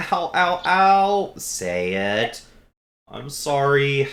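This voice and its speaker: A man puts on a character voice at a fairly high pitch. He speaks very slowly with very wide pitch swings. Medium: actual play.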